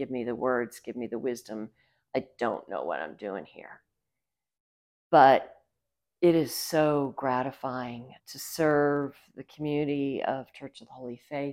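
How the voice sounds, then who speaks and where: A woman with an American accent and a very deep, low pitch talks at a fairly slow pace with fairly even intonation, recorded very cleanly against a silent background. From US South, Savannah, Georgia. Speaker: priest. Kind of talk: interview.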